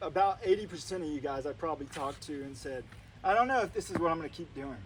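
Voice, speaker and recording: A man with an American accent talks at a very fast pace in a fairly high pitch, with noticeable background noise. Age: 30s. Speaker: army officer. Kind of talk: ceremony speech. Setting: ceremony with live audience. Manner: loud.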